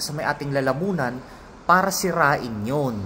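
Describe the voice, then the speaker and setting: With audible room echo, a man talks very slowly at a fairly high pitch, his intonation lively. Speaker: vlogger and professor. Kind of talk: casual talk to camera about health experience. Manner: hesitant, many fillers.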